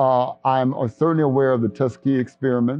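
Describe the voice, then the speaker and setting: Music plays in the background. The speaker has an American accent. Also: man. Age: 70s. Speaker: company CEO. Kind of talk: casual chat. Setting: vaccination site.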